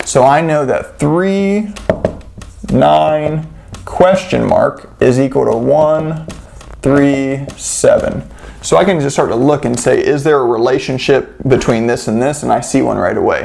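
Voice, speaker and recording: Noticeable background noise runs under words delivered at a fairly slow pace. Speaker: math tutor. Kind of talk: tutorial. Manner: casual.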